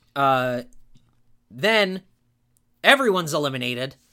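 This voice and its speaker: On a very clean recording with a silent background, a man speaks at a moderate pace and fairly high pitch. His tone is bright, sharp and animated, with lively intonation. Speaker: podcast host and wrestling fan. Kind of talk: wrestling promo, a loud mock-Southern rant played for laughs. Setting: studio podcast. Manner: sarcastic, exaggerated.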